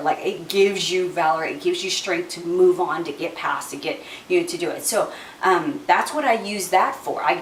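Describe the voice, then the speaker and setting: A woman's medium-pitched voice with very wide pitch swings, audible room echo and noticeable background noise. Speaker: essential oils vlogger. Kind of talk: casual product tutorial. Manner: fast; chatty, many fillers.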